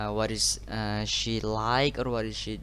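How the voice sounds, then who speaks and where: There is audible room echo. A man speaks at a very slow pace. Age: 20s. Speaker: university student. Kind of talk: class presentation. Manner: halting.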